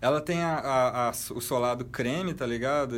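At a fairly slow pace, a man talks with ordinary pitch variation. Room echo is audible. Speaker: podcast co-host. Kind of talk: casual chat.

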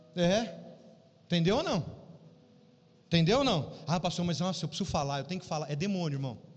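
With lively intonation and a fairly quick pace, the speech breaks into long, frequent pauses amid audible room echo. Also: man, high pitch for a man. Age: 40s. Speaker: pastor. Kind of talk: sermon. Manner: animated.

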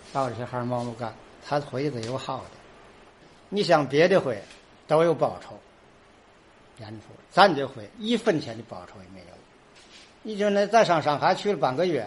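With a fairly high pitch and a somewhat breathy voice, a man speaks at a moderate pace, his pitch swinging very widely and his loudness rising and falling sharply between long, frequent pauses. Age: 70s. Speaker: folk pole-climbing troupe leader. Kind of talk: interview. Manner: halting.

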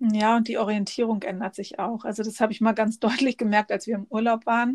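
A woman with a fairly high, somewhat breathy voice speaks at a moderate pace with fairly even intonation on a very clean recording with a silent background. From northern Germany, near Bremen. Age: 40s. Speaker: podcast guest with an eye disease. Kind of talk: casual interview.

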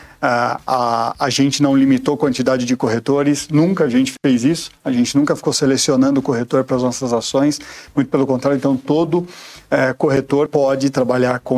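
Pitched in a medium range, a man's voice proceeds at a moderate pace. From São Paulo, Brazil. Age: 40s. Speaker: insurance sales executive. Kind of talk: interview. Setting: studio.

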